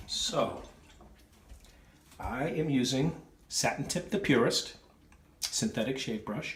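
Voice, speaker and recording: A man speaks with a Boston accent at a medium pitch. Noticeable background noise runs behind him. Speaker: wet shaving video creator. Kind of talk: shaving tutorial with casual chat. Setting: at home, wife filming.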